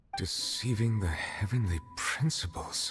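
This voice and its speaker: Faint music plays in the background as a man uses a put-on character voice at a fairly slow pace and a fairly low pitch. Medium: video game. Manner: formal, measured, serious.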